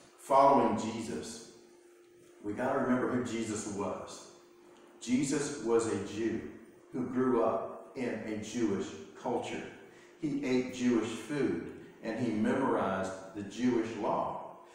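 The speaker leaves long, frequent pauses, and strong echo fills the room. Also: man, ordinary pitch variation. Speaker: pastor. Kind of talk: sermon. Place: church. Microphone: camera far.

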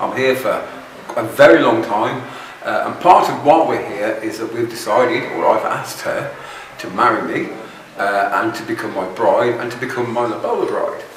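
Audible room echo and light background noise are present in the recording. The speech comes at a moderate pace. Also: man. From United Kingdom. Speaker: vlogger. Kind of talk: vlog monologue. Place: home room.

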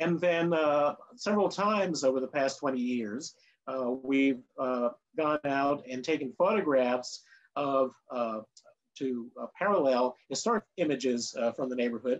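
With ordinary pitch variation, a man talks at a fairly slow pace. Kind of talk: webinar presentation. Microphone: video call.

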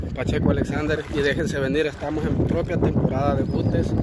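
This man's moderate-paced speech has a dry sound with no echo, set against loud background noise. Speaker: outdoor vlogger. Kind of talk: casual vlog chat. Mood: cheerful, friendly. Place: waterside. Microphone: phone near.

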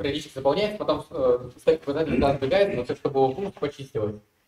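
The voice belongs to a man with a fairly high pitch. Audible room echo is present. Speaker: student. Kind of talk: classroom question. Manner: halting. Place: classroom.

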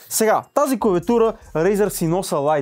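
Very wide pitch swings mark this dark, mellow voice, which moves at a moderate pace. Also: man. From Bulgaria. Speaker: tech reviewer. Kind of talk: product review video. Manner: casual, chatty. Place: studio.

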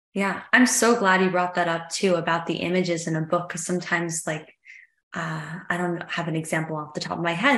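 A woman's fairly low voice, fairly even intonation, a fairly quick pace and audible room echo. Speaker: event host. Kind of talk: interview question. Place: home room. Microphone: video call.

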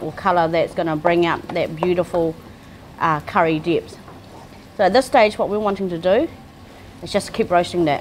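A woman with a fairly low pitch and ordinary pitch variation at a moderate pace, with long, frequent pauses and light background noise. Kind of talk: cooking tutorial. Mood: warm, enthusiastic. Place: kitchen.

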